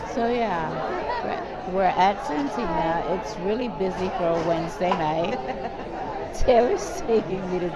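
Someone talks at a fairly slow pace while crowd noise fills the background. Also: woman. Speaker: food vlogger. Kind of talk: casual vlog chat.

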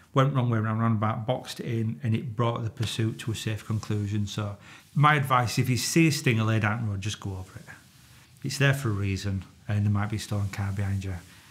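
At a very fast pace, a man speaks in a fairly low pitch with ordinary pitch variation. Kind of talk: interview answer, storytelling. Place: studio.

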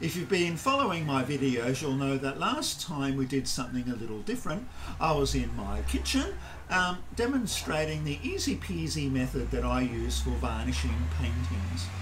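Light background noise sits behind this recording. A man speaks at a moderate pace. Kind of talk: tutorial. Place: garage.

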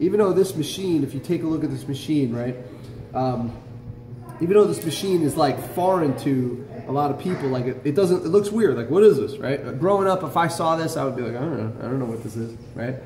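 The man talks at a fairly quick pace. Light background noise and audible room echo are present. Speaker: shop teacher. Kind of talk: lecture. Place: workshop. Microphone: phone near.

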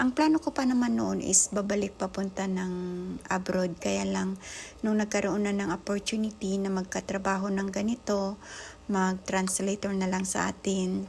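Somewhat breathy, a woman talks at a medium pitch. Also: ordinary pitch variation, moderate pace. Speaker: vlogger. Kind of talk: casual cooking vlog.

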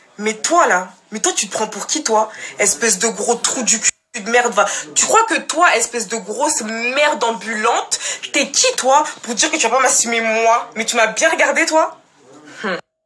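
A woman's fairly high, animated voice with lively intonation at a fairly slow pace, over light background noise. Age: young. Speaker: social media storyteller. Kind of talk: personal testimony to followers.

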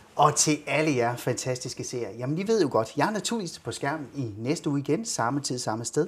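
A man with a fairly high pitch talks at a moderate pace, his intonation lively and his voice somewhat breathy. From Denmark. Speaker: talk show host. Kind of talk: interview in a studio talk show. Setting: studio. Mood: warm, upbeat. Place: studio. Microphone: lapel.

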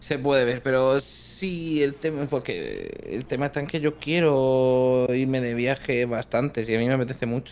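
Noticeable background noise fills the recording. Over it, a man talks at medium pitch. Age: 20s. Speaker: YouTuber. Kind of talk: casual chat.

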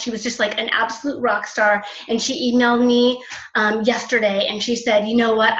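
A woman's high-pitched voice in a flat monotone, with a quiet background and audible room echo. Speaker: presenter. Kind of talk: presentation on a call. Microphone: video call.

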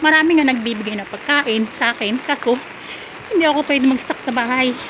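A woman talks at a fairly quick pace and high pitch with ordinary pitch variation, with noticeable background noise behind her. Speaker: vlogger, domestic worker. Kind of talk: casual vlog narration. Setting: outdoors in the rain. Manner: animated.

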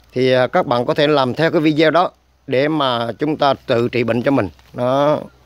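With a plain, everyday voice, a man speaks at a moderate pace, his fairly high pitch carried on fairly even intonation. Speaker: herbal medicine channel host. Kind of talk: tutorial. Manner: filler-heavy casual delivery.

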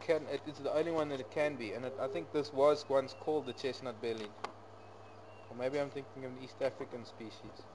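Through noticeable background noise, a man speaks at a fairly quick pace with ordinary pitch variation. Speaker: safari guide. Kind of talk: live nature commentary. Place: open country.

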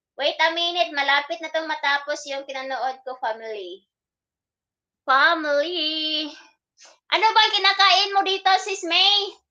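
Using a raised, projected voice, a woman speaks at a moderate pace with a high pitch, a bright, sharp tone, and ordinary pitch variation. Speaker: live-streaming vlogger. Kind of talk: casual live stream chat with viewers. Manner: animated.

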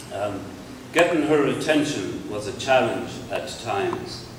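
A man with an Irish accent speaks at a fairly slow pace. Noticeable background noise and audible room echo surround him. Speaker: poet. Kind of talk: casual talk to audience before a reading. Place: hall. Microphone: handheld.

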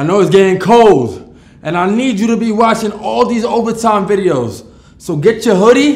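A man speaks at a moderate pace in a high-pitched voice. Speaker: channel host. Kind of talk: promotional outro to camera. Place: studio.

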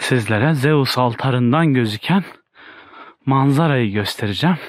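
A man speaks at a fairly slow pace. The sound is dry with no echo, over a quiet background. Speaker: travel vlogger. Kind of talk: casual vlog narration. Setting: outdoors. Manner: animated. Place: forest. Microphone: phone near.

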